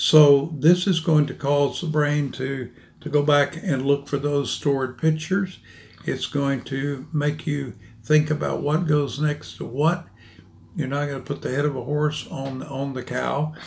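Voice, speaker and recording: Flat and monotone, a man's somewhat breathy voice unfolds at a fairly slow pace. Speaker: presenter. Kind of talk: interview answer. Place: office. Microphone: podium.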